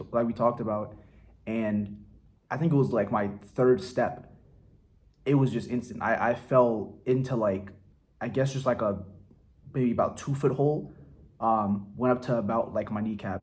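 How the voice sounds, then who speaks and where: Speaking with an American accent, a man uses a medium pitch and ordinary pitch variation at a moderate pace, with long, frequent pauses. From Silver Spring, Maryland, USA. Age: 20s. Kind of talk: casual vlog talk to camera.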